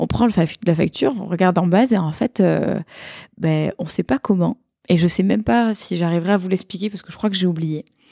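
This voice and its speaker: With a slight southern French accent, the voice moves at a fairly quick pace, dark and mellow in tone with ordinary pitch variation, in a dry, close sound with no echo. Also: woman, fairly low pitch for a woman. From southern France, Montpellier. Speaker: tech product person and conference speaker. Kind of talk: casual chat. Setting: around a table with other panelists.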